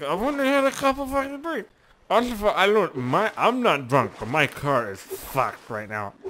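In a put-on character voice with a fairly high pitch, the speaker mumbles at a fairly slow pace. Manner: slurred, mumbling.

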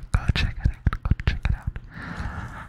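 A man whispers at a very slow pace. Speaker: ASMR creator. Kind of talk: whispered ASMR intro chat. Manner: close-mic whisper through cupped hand. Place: home room. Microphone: studio mic.

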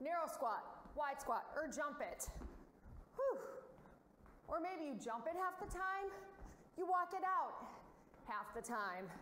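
With a bright, sharp tone and an extremely high pitch, a woman speaks at a fairly slow pace with long, frequent pauses. There is light background noise and audible room echo. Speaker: fitness instructor. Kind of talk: workout instruction. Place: gym.

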